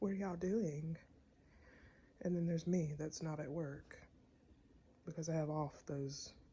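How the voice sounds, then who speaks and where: Somewhat breathy, a woman speaks in an American accent at a fairly low pitch, with a dark, mellow tone and fairly even intonation. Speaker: vlogger. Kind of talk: casual vlog talk.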